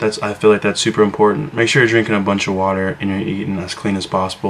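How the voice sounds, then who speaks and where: A quiet man's voice, fairly even in intonation, over noticeable background noise. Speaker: fitness vlogger. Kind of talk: casual vlog talk to camera. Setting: at home, brother sleeping nearby. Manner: quiet, hushed; hesitant, many fillers.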